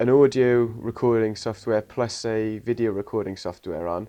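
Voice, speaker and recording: A man speaks with a Welsh accent in a fairly low pitch. His tone is dark and mellow, and his intonation fairly even. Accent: posh-sounding Welsh. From Wales. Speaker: interviewer. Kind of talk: casual interview chat.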